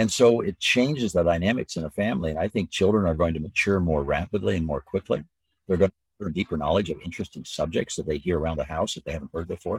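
A man with an American accent speaks at a very fast pace, his pitch very deep and low with ordinary variation. The sound is dry and close with no echo, and his voice is somewhat breathy. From Southern California (early childhood in rural Minnesota). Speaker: business leader and leadership educator. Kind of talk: interview conversation.

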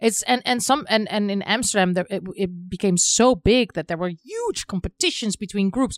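A woman with a Dutch accent speaks with hardly any pauses. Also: medium pitch for a woman, ordinary pitch variation, moderate pace. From Netherlands. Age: 40s. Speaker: film director. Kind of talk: interview. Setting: in person.

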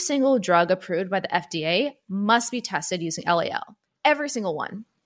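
On a very clean recording with a silent background, a woman at a medium pitch speaks at a moderate pace with very wide pitch swings. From South India. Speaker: podcast host. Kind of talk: casual chat.

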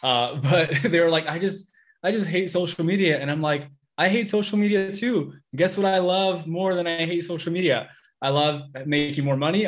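Here a man speaks at a fairly quick pace. His pitch is fairly high, with ordinary variation. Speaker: podcast host. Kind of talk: interview. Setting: live online training. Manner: upbeat, enthusiastic.

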